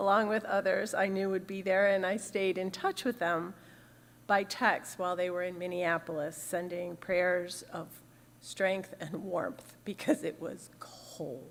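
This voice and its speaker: Speaking at a fairly slow pace, a woman with a normal speaking voice keeps a medium pitch and fairly even intonation. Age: 60s. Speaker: minister. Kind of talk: sermon.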